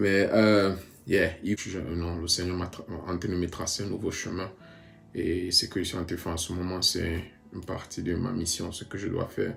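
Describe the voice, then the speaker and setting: Over music in the background, a man speaks in a very deep, low voice with monotone, flat intonation. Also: moderate pace. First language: bilingual, mostly English-dominant (speaking French). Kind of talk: personal testimony vlog. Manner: halting, many hesitations.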